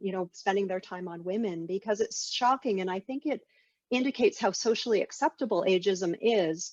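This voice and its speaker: With a dry, close sound and no echo, a woman with a normal speaking voice talks at a fairly quick pace and medium pitch, with ordinary pitch variation and big swings in loudness. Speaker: interviewer, academic. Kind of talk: interview questions.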